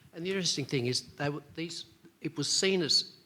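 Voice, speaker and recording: Bright, sharp tone from a man with an Australian accent, ordinary pitch variation, and a moderate pace. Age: 60s. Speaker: audience member at a medical debate. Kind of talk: audience question at a conference debate. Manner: halting.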